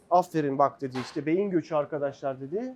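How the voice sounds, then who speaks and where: A man at a moderate pace. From Turkey, Ankara (early childhood in Germany). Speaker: dentist. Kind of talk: personal storytelling in a talk with students. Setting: meeting with dental students.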